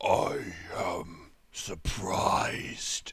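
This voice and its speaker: A man puts on a raspy, hissing character voice. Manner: menacing, hissing.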